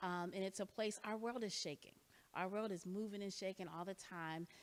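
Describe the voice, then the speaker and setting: Her voice is an ordinary speaking voice at medium pitch, and the woman uses ordinary pitch variation. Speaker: ministry leader. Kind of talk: church forum talk.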